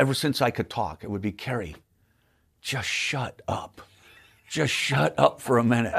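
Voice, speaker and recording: In a very clean recording with a silent background, a man at a medium pitch speaks fairly slowly with lively intonation, vocal fry, and long, frequent pauses. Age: 60s. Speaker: magician, comedian and prop inventor. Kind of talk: casual interview chat.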